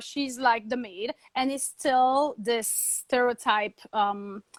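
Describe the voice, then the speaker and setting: With a French accent, a woman speaks at a high pitch with ordinary pitch variation in a dry, close recording with no echo. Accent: French accent, always there. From Guadeloupe (French Caribbean). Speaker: TV host and journalist. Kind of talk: interview. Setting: live video webinar.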